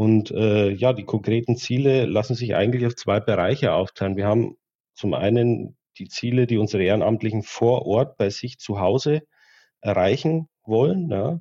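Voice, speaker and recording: A man talks in a plain, everyday voice at medium pitch. His pace is moderate and his pitch varies in an ordinary way. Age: 30s. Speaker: regional volunteer coordinator of an automobile club. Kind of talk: interview.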